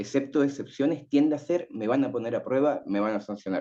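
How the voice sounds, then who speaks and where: A man speaks in a sing-song way at a medium pitch, with ordinary pitch variation. His tone is dark and mellow. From Chile. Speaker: writing teacher and panelist. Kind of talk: panel talk. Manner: sing-song intonation.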